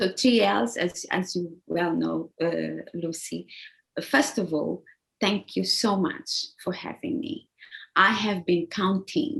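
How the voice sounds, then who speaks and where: Speaking at a fairly slow pace, a woman uses a medium-pitched voice with vocal fry. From Angola (Luanda). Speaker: executive assistant. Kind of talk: interview. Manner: halting, many repetitions.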